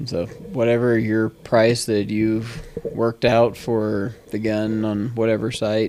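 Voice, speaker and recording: A man's voice with noticeable background noise. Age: 40s. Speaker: entrepreneur and engineer, firearms dealer. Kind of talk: podcast interview. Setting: podcast recording. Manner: articulate.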